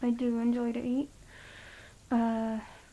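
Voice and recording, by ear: Her fairly high pitch comes with a dark, mellow tone as this woman speaks in a monotone, with flat intonation.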